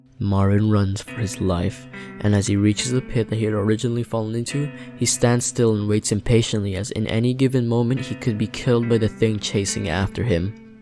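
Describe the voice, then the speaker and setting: With music playing behind him, a man talks at a medium pitch, his intonation fairly even. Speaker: video analysis narrator. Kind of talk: narrated video analysis.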